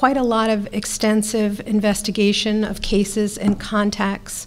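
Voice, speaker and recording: A woman speaks in a flat, monotone way. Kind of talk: press briefing statement. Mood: serious, measured. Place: hall. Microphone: podium.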